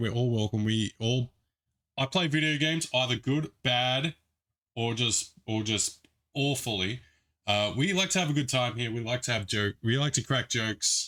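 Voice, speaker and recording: At a moderate pace, a man speaks in a medium pitch with a bright, sharp tone. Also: very clean recording, silent background. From Australia. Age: 30s. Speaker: video game streamer. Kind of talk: live stream chat. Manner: casual, chatty.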